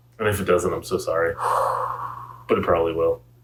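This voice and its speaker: Noticeable background noise sits under speech at a very fast pace. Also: man. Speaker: podcast co-host. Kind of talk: casual chat. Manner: loud.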